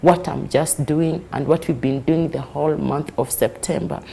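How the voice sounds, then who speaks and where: A woman's very deep, low voice over noticeable background noise. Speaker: advocate for rights of the elderly. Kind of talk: news interview.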